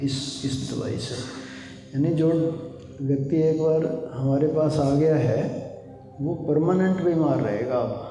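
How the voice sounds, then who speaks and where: A man with a fairly high voice speaks with fairly even intonation amid noticeable background noise and audible room echo. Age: 60s. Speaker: meditation teacher. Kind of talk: spiritual talk. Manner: conversational, with fillers.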